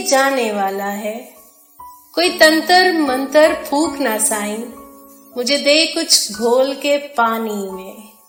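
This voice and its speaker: A woman's high-pitched voice with lively intonation, with music in the background. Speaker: radio presenter. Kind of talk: poetry reading. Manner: emotional, pleading.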